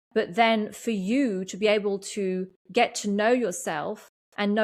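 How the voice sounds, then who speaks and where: With an English accent, a woman speaks very slowly and with fairly even intonation on a very clean recording with a silent background. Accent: sounds very English. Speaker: podcast host and energy coach. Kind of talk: solo podcast monologue. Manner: halting, many fillers.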